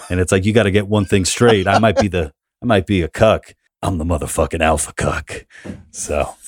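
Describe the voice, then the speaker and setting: Speaking fairly quickly, a man with a fairly low pitch keeps his intonation fairly even on a very clean recording with a silent background. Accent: New York. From New York City, Queens. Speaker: comedian and author. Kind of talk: casual interview chat.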